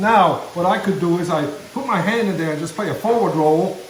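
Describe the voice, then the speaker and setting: Over noticeable background noise and audible room echo, a man talks fairly quickly in a high pitch with lively intonation. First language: German. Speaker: banjo player and musician. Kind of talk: casual chat. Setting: kitchen.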